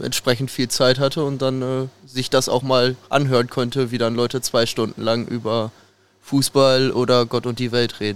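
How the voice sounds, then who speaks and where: Medium in pitch, a man speaks at a moderate pace. His intonation is monotone and flat. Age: young. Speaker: football fan podcast guest. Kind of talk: casual chat.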